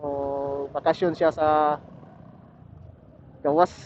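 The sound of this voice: A man with a fairly high voice and a slightly mellow tone speaks at a very slow pace, his pitch barely moving.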